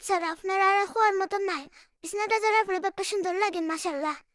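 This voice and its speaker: The speaker is a woman with an extremely high pitch. Her intonation stays fairly even. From Bangladesh; Sylhet region, Bangladesh. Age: young. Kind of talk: casual vlog voiceover narration.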